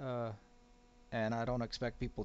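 With an American accent, a man is heard. His voice is medium in pitch. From US Midwest. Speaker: podcast host. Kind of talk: casual solo monologue. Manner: halting, many fillers.

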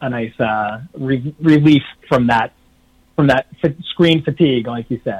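In a normal speaking voice with an American accent, a man of medium pitch talks at a moderate pace with ordinary pitch variation. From New York City area. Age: 40s. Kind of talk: interview.

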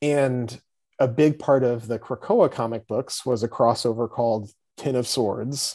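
A man's normal speaking voice at a medium pitch, fairly slow in pace, with fairly even intonation. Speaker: comic book writer and editor. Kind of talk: casual chat.

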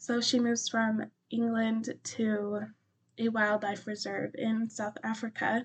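The voice is somewhat breathy, with an American accent. It moves at a very slow pace with monotone, flat intonation. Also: woman, fairly high pitch for a woman. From US, Colorado mountains. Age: 20s. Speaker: book podcast host. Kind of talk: casual chat. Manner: frequent fillers.

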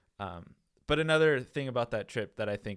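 This very clean recording with a silent background carries a voice with an American accent. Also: man. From US Pacific Northwest (Tacoma, Washington). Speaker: vicar. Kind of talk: casual chat.

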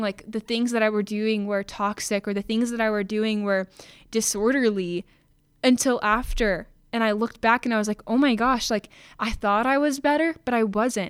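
On a very clean recording with a silent background, a woman speaks at a moderate pace and fairly high pitch in a plain, everyday voice. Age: 20s. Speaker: podcast host. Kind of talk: personal testimony monologue. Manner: casual, filler-heavy.

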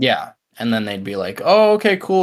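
A man speaks with an ordinary speaking voice at a moderate pace. His pitch shows ordinary variation. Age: young. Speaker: podcast co-host. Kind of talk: casual chat.

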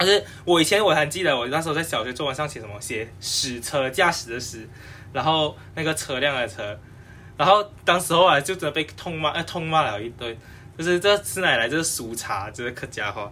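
Against music in the background, a man with a fairly high voice talks fairly quickly, with lively intonation and big swings in loudness. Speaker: podcast panel regular. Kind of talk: casual panel discussion. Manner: halting.

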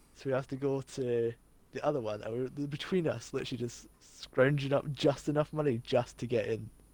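A man with a Scottish accent speaks at a medium pitch. His loudness swings widely while his intonation stays fairly even. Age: 20s. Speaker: podcast co-host. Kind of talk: casual chat.

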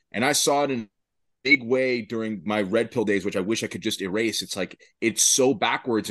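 An ordinary speaking voice at a moderate pace, with ordinary pitch variation and a quiet background. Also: man. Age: 30s. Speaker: gym owner. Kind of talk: panel discussion. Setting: video call.

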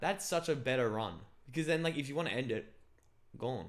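This man talks at a fairly quick pace with a fairly high pitch, lively intonation and vocal fry. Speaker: podcast host. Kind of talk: casual chat. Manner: loud, intense talker.

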